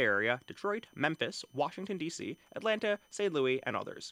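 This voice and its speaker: A man's bright, sharp voice with very wide pitch swings at a very fast pace, dry and close with no echo, on a very clean recording with a silent background. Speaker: fashion podcast host. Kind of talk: solo casual monologue. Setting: home microphone in his apartment. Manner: jokey, rambling.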